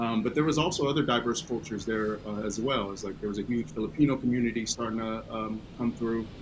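A man with an American accent talks at a very fast pace, with ordinary pitch variation. Noticeable background noise runs behind him. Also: medium pitch for a man. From US West Coast, East Oakland, California. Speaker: Air Force veteran. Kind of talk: interview. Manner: hesitant with many fillers.

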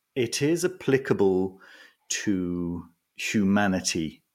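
A man with a fairly low pitch speaks with very wide pitch swings. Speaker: magician and esoteric book reviewer. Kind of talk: casual interview chat. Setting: remote call from home. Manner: calm, relaxed.

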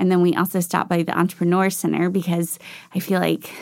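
Fairly low in pitch and using vocal fry, a woman talks at a fairly quick pace in a very clean recording with a silent background. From Middle Tennessee (Franklin). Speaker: head of a private school. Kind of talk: casual interview. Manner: animated, frequent laughter.

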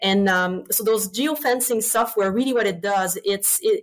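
In a French accent, a woman talks at a moderate pace in a fairly high pitch with ordinary pitch variation and a passionate tone, on a very clean recording with a silent background. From Quebec. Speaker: swine veterinarian. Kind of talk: interview.

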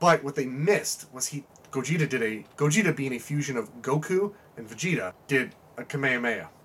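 Through noticeable background noise, a man speaks quite quickly at a fairly high pitch. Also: lively intonation. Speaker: tabletop gaming fan. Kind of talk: casual chat.

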